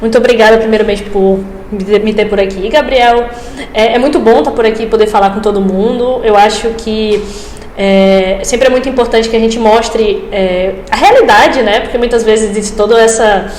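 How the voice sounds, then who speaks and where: The speaker has a northeastern Brazilian accent and fairly even intonation. Audible room echo and noticeable background noise fill the recording. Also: woman, fairly high pitch for a woman, moderate pace. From Brazil, Rio Grande do Norte interior (Açu). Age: 20s. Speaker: medical student, engineer. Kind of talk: podcast interview.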